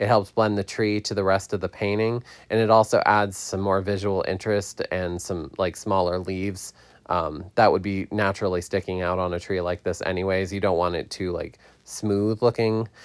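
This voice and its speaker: Monotone, flat intonation comes through on a very clean recording with a silent background. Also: man, fairly low pitch for a man. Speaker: digital artist and hairstylist. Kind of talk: tutorial. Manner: fast; halting, many fillers.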